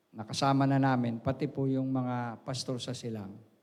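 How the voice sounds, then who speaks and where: A man speaks at a moderate pace with fairly high pitch, and audible room echo surrounds his voice. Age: 60s. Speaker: pastor. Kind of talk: sermon. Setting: church. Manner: halting.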